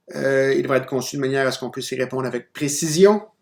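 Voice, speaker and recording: With a non-native accent, the voice rises and falls in pitch in a normal way. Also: man. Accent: non-native French, audible. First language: not French (speaking French). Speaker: university lecturer. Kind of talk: recorded lecture. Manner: hesitant, many fillers and restarts.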